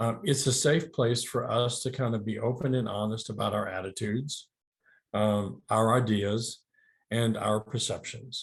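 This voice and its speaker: A man's medium-pitched, somewhat breathy voice at a fairly slow pace, with fairly even intonation over a quiet background. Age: 60s. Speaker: licensed counselor and addiction therapist. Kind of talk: webinar presentation. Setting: virtual talk. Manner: hesitant, many fillers.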